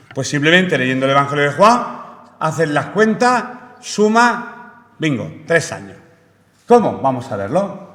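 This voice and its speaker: Over noticeable background noise and audible room echo, a man speaks at a fairly slow pace with very wide pitch swings. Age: 60s. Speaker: preacher. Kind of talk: sermon. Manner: halting.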